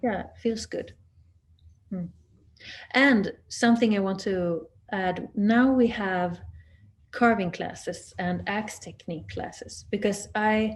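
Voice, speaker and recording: A woman's somewhat breathy voice with a Swedish accent, at medium pitch with ordinary pitch variation, very slow in pace, with long, frequent pauses. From southern Sweden. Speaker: axe maker. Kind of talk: webinar talk. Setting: video call. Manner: halting.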